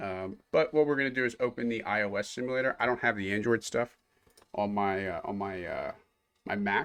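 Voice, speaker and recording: In an ordinary speaking voice, a man talks at medium pitch and a fairly quick pace with ordinary pitch variation. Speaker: software developer teaching coding. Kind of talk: live-streamed coding tutorial. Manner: casual with many fillers and repetitions.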